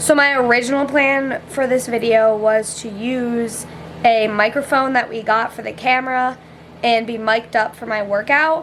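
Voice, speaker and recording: Loud and high-pitched, a woman talks with fairly even intonation. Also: moderate pace. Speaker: fitness vlogger. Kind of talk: casual vlog chat. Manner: casual, filler-heavy.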